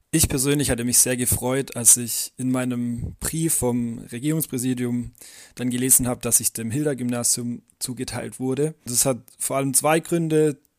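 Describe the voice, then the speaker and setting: In a Swabian accent, a medium-pitched man speaks with fairly even intonation on a very clean recording with a silent background. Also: moderate pace. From Swabia, near Calw. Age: 20s. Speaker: trainee teacher. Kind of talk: interview.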